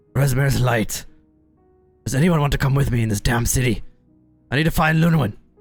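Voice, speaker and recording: A raspy, gruff put-on character voice moves at a fairly quick pace, broken by long, frequent pauses. Faint music plays in the background. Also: man, medium pitch for a man. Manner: hurried, urgent.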